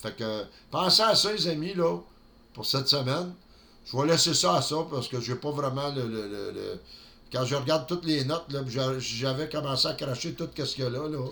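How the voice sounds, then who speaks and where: A man with a Quebec accent has a bright, sharp tone and fairly high pitch, with ordinary pitch variation. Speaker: network marketing vlogger. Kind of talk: solo vlog monologue.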